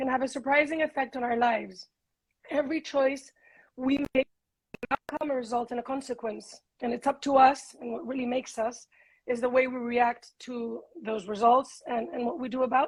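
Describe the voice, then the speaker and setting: In a Spanish accent, a woman speaks at a high pitch. Her intonation is fairly even, though her loudness swings widely. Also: moderate pace. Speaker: podcast host. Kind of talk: interview.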